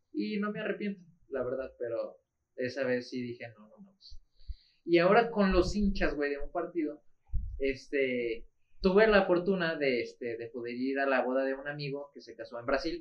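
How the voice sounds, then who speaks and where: With a Mexican accent, a man with a fairly high pitch talks in lively intonation and big swings in loudness. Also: moderate pace. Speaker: football podcast co-host. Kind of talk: casual chat.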